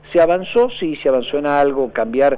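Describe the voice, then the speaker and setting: A man speaks with an unremarkable speaking voice at a fairly high pitch. His pace is moderate and his intonation lively. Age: 50s. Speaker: political analyst. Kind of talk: radio interview.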